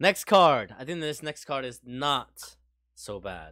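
On a very clean recording with a silent background, a man speaks very slowly at a fairly high pitch, with vocal fry and very wide pitch swings. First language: Spanish. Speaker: podcast co-host. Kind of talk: casual chat.

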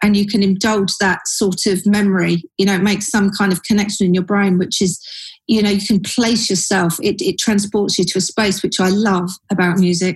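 Somewhat breathy speech in a London accent, monotone and flat, at a moderate pace with very even loudness. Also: woman, medium pitch for a woman. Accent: London-sounding. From Surrey, southern England. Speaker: advertising creative director. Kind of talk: casual interview chat.

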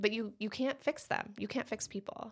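Speaking at a moderate pace with vocal fry, a woman in an American accent is heard on a very clean recording with a silent background. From Michigan. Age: 30s. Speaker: dentist. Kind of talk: casual chat.

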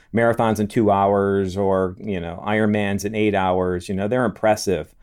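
A normal speaking voice, fairly even in intonation and moderate in pace, on a very clean recording against a silent background. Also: man. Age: 50s. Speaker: podcast host and physical therapist. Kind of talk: podcast interview.

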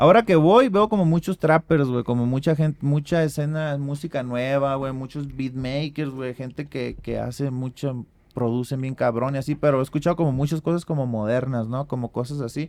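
Delivery comes in a normal speaking voice at a moderate pace. The pitch varies in an ordinary way. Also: man. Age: 30s. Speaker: rapper and beatmaker. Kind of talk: casual chat.

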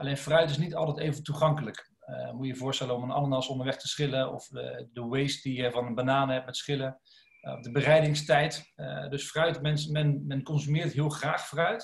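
With a normal speaking voice, a man keeps fairly even intonation and a fairly high pitch, going at a moderate pace. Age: 30s. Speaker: food company co-founder. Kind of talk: podcast interview.

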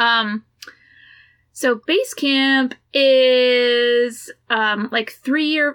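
On a very clean recording with a silent background, a woman with an American accent speaks in a high pitch and a bright, sharp tone, her intonation fairly even. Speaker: shuttle driver, outfitter worker and hiker. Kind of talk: casual conversation.

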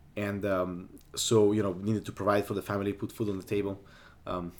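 A man with an Italian accent at a fairly quick pace and fairly low pitch, on a very clean recording with a silent background. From Italy (Sardinia). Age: young. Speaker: aerobatic pilot. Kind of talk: interview. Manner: energetic.

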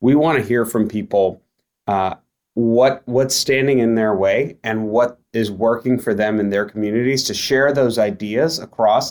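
A man has an unremarkable speaking voice at a medium pitch. He talks at a fairly slow pace with ordinary pitch variation. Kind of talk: casual conversation.

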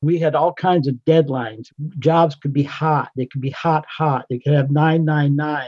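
An American accent, fairly even intonation and a fairly slow pace, in a dry, close sound with no echo. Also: man, fairly high pitch for a man. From Pennsylvania. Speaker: retired navy sailor. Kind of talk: casual reminiscence.

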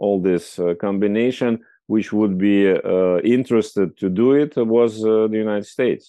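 A man speaks in a Russian accent at a fairly slow pace. His pitch is fairly low, with ordinary pitch variation. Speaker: foreign policy expert and magazine editor. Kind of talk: interview. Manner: hesitant, many fillers.

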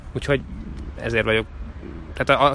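This is a man speaking. His pace is very fast. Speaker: sports reporter and commentator. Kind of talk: casual chat. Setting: outdoors.

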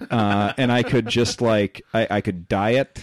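Fairly low in pitch, a man speaks in an ordinary speaking voice with fairly even intonation. The recording is very clean, dry and close, with a silent background and no echo. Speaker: podcast host and stand-up comedian. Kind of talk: casual chat.

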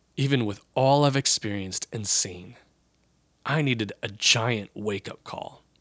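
Talking fairly slowly, a man has an unremarkable speaking voice. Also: medium pitch for a man, ordinary pitch variation. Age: 30s. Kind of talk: Bible reading and commentary.

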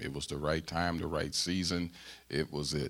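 A man with an American accent and a very deep, low pitch, fairly even intonation, on a very clean recording with a silent background. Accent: Southern-tinged Midwestern US. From US Midwest (St. Louis, Missouri). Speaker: pastor. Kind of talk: sermon. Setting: church.

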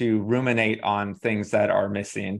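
A man with a normal speaking voice and medium pitch talks at a moderate pace over a quiet background. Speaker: positive psychology researcher. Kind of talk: interview podcast conversation.

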